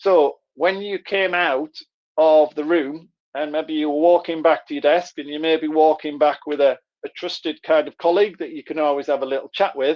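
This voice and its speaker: A man with a Middlesbrough accent, fairly high in pitch, at a moderate pace with fairly even intonation. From northern England, Middlesbrough. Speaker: trainer. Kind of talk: live online workshop. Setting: live video session. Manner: conversational.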